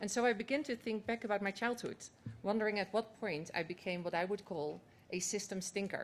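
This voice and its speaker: A woman's medium-pitched, fairly quick speech in a Dutch accent, with ordinary pitch variation. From Netherlands. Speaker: climate organization executive. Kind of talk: conference speech.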